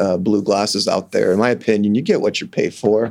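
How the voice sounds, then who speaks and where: On a very clean recording with a silent background, a man with an American accent and an ordinary speaking voice talks fairly quickly at a fairly low pitch. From Kansas (Sedgwick). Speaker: optometrist. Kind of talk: interview. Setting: studio.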